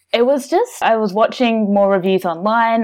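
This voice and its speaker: A woman with an Australian accent, ordinary pitch variation and a moderate pace. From Australia, Melbourne. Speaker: board game reviewer and social media manager. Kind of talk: casual chat.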